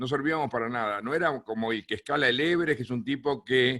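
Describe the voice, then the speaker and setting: Speaking fairly quickly with a Uruguayan accent, a man's voice sits at medium pitch with a bright, sharp tone and lively intonation. The recording is very clean, and the background is silent. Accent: Uruguayan Rioplatense Spanish. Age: 60s. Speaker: plane crash survivor and speaker. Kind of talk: talk to a film club.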